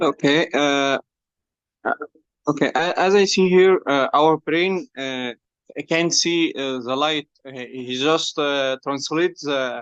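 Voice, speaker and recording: The pace is very slow. A non-native accent comes through. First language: not English. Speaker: student participant. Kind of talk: class question. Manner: halting, many fillers.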